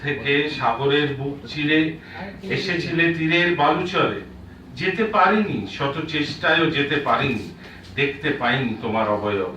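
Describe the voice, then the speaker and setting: A man speaks with a fairly high pitch for a man. Noticeable background noise sits behind him. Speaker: poet. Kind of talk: poetry reading. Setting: live book launch event.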